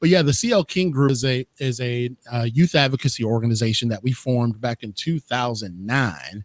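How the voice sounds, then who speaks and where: A man at a medium pitch and a fairly quick pace, with ordinary pitch variation, hardly any pauses and a dry, close sound with no echo. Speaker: motivational speaker. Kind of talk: interview conversation. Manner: loud; animated, passionate.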